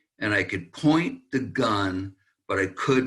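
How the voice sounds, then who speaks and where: A man speaks at a very slow pace with ordinary pitch variation. His tone is bright and sharp. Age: 70s. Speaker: author. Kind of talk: interview testimony.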